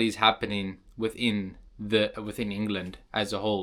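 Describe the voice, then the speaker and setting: A man with a South African accent speaks at a medium pitch in a bright, sharp tone, on a very clean recording with a silent background. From South Africa, Cape Town. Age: young. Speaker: vlogger. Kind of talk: casual vlog monologue.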